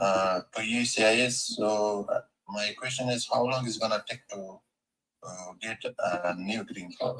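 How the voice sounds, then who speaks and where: With an Afghan accent, a man speaks at a fairly slow pace. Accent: Afghan Persian. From Afghanistan. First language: Persian. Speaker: caller. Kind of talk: asking questions on a live call. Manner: halting.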